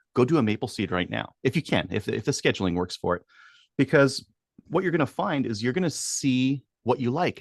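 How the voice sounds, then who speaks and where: A man talks at a fairly quick pace in a normal speaking voice, medium in pitch, with lively intonation. The sound is dry and close with no echo, over a quiet background. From Edmonton, Alberta, Canada. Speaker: firearms instructor. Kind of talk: podcast interview.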